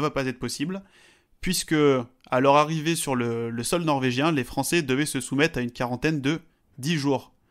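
On a very clean recording with a silent background, a plain, everyday voice speaks at a moderate pace with fairly even intonation. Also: man. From French mountains. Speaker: podcast co-host, statistics. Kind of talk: casual chat.

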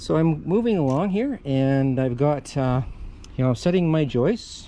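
A man speaks at a moderate pace in a dark, mellow tone. There is light background noise. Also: dry sound with no echo. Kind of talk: tutorial. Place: garden. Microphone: phone near.

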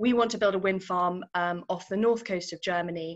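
Speaking at a moderate pace with fairly even intonation, a woman uses a medium pitch in a British accent. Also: quiet background. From UK. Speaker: infrastructure investment professional. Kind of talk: career talk interview. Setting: video call. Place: office. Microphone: webcam.

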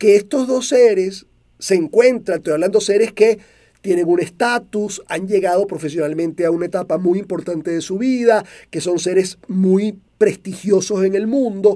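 A man with a Venezuelan accent speaks at a high pitch in a dark, mellow tone. His pace is moderate and his pitch variation ordinary, over a quiet background. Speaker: motivational speaker. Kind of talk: monologue talk show. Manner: clear and direct. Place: studio. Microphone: studio mic.

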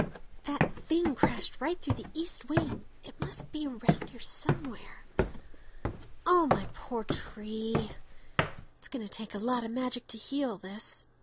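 A female-sounding, raspy, put-on character voice sits at a high pitch. It moves at a fairly slow pace with long, frequent pauses. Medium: audio drama.

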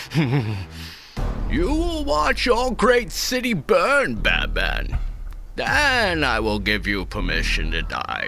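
A man's put-on character voice, raised and projected, at a very slow pace with clear background noise. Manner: menacing, slow.

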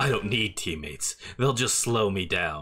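A man puts on a growling character voice with a fairly low pitch. He moves at a moderate pace over light background noise. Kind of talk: casual gaming commentary. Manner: cold, brooding. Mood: playful joking.

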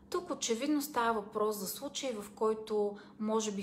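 A woman keeps a moderate pace and ordinary pitch variation, with light background noise behind her. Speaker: self-help coach. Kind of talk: advice talk to camera. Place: home room. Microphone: phone near.

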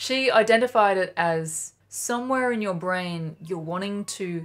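Against a quiet background, a woman with an Australian accent talks at a very slow pace with ordinary pitch variation. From Australia, Sydney. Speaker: flute teacher. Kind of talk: tutorial. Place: home room.

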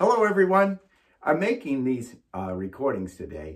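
A man talks with very wide pitch swings. His voice is somewhat breathy. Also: quiet background. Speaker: band teacher. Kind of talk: tutorial intro to students. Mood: warm, friendly.

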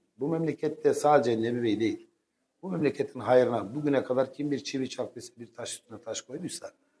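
His pitch rises and falls in an ordinary way. The man keeps a fairly quick pace. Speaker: candidate. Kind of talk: interview answer. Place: studio. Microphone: lapel.

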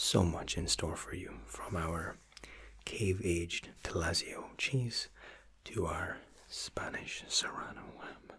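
A man whispers at a very slow pace. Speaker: waiter role-play host. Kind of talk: soft role-play explanation to viewer.

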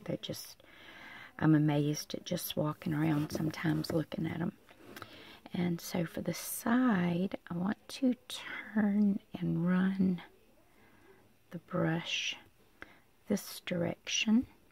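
The speech moves at a very slow pace with long, frequent pauses. The sound is dry, with no echo. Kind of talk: tutorial. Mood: calm, relaxed.

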